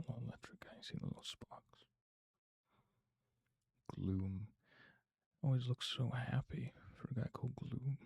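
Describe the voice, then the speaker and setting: A man whispers in a somewhat breathy way at a fairly slow pace, with long, frequent pauses. The sound is dry and close, with no echo. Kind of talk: ASMR card unboxing. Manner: whispered.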